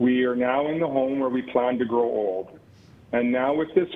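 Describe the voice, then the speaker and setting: This man has a Western Canadian accent and a medium pitch. He talks at a moderate pace. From Canada, Calgary. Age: 60s. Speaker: member of the public at a council hearing. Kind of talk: public hearing statement.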